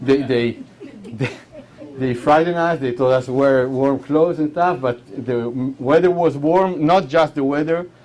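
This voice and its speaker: There is noticeable background noise as a man with an Israeli accent speaks at a fairly high pitch with ordinary pitch variation. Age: 40s. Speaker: war veteran. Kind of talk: talk. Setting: hall with audience.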